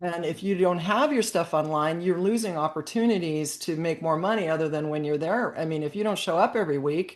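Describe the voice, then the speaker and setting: In a plain, everyday voice, a woman talks fairly quickly with hardly any pauses, her pitch fairly low and varying in an ordinary way. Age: 60s. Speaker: podcast co-host, charcuterie business coach. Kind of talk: casual chat.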